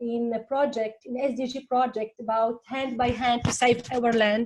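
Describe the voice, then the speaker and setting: A woman with a non-native accent speaks in a high voice. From Tunisia. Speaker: teacher. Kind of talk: panel discussion. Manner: halting, many fillers.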